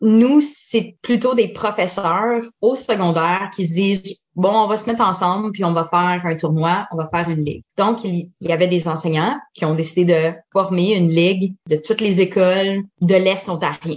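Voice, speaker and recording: A woman with an unremarkable speaking voice talks at a fairly slow pace and medium pitch, using ordinary pitch variation and hardly any pauses. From Eastern Ontario (Franco-Ontarian, Orléans/Ottawa). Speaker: improv performer. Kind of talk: casual interview.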